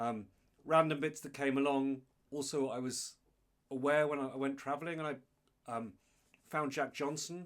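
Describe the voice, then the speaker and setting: A man with an English accent, fairly high pitch and fairly even intonation, at a moderate pace with long, frequent pauses, on a very clean recording with a silent background. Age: 50s. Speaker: guitarist. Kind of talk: casual chat.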